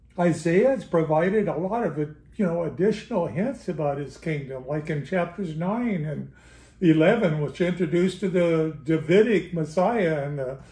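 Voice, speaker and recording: A man talks at a moderate pace in a high pitch, his tone dark and mellow with ordinary pitch variation. Room echo is audible. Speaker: bible study teacher. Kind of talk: lecture. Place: home room. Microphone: camera far.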